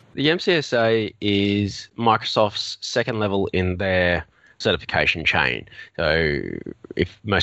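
A man with an Australian accent talks at a very deep, low pitch with ordinary pitch variation. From Melbourne, Australia. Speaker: IT consultant. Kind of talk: casual interview chat.

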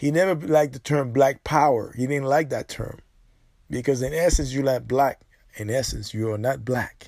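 Animated in tone, a man talks at a medium pitch and moderate pace with ordinary pitch variation. The recording is very clean with a silent background. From born abroad, immigrated to the US. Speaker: podcast host. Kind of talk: solo commentary monologue. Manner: animated, repetitive.

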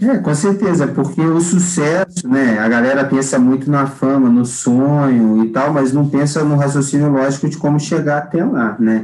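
At a moderate pace with hardly any pauses, a man talks in a fairly high pitch at very even loudness over noticeable background noise. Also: ordinary pitch variation. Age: 30s. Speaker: music producer and festival organizer. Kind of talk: podcast interview.

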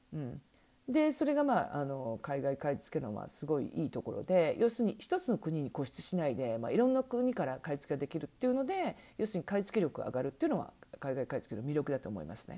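Very wide pitch swings at a very fast pace. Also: woman, very deep, low pitch for a woman. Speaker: online shopping consultant and podcast host. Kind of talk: solo podcast talk. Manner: many fillers, hesitant.

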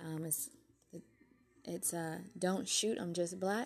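A soft-spoken woman talks at a medium pitch with a dark, mellow tone. Her intonation stays fairly even. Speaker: podcast host. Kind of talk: casual talk.

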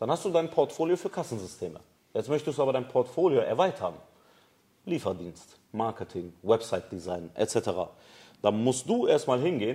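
A man's dark, mellow voice at medium pitch, with vocal fry, very wide pitch swings, a moderate pace and long, frequent pauses, in a very clean recording with a silent background. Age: 30s. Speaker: business founder. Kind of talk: casual interview. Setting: studio with camera.

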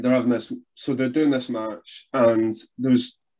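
A man with a Scottish accent, medium-pitched, at a moderate pace. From Scotland. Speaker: wrestling podcast co-host. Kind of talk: casual chat.

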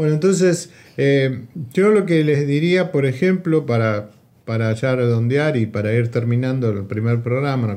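A man speaks with a Rioplatense accent. His tone is dark and mellow, with lively intonation. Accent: Argentine Spanish (rioplatense). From Argentina. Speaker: podcast host. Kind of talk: casual chat.

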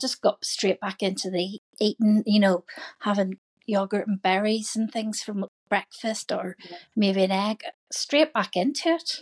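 This woman uses a normal speaking voice at medium pitch with ordinary pitch variation, recorded with a dry, close sound and no echo. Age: 50s. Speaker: coaching client. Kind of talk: casual chat.

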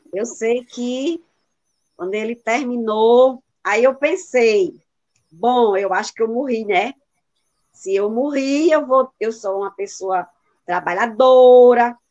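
A woman with a northeastern Brazilian accent speaks in a high voice with lively intonation and long, frequent pauses. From Brazil, Rio Grande do Norte interior. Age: 50s. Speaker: retired teacher and doula. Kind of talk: testimony.

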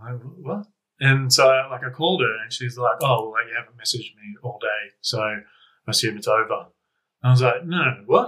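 A man with an Australian accent talks at a moderate pace. His loudness swings widely, and he takes long, frequent pauses. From Canberra, Australia. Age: 30s. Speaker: podcast guest. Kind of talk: casual chat.

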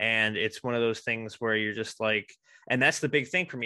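A man with an American accent and a bright, sharp tone, in a dry, close sound with no echo and a quiet background. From Racine, Wisconsin. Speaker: podcast host. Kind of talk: casual interview.

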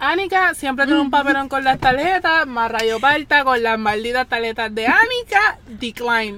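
A raised, projected voice at a fairly slow pace with lively intonation, amid noticeable background noise. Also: woman. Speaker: guest, friend of hosts. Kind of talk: casual storytelling.

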